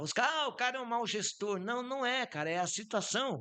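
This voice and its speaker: Lively intonation marks this man's fairly slow speech. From southern Brazil, Santa Catarina (Campos Novos). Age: 60s. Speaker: businessman. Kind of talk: podcast interview. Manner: informal, with frequent fillers.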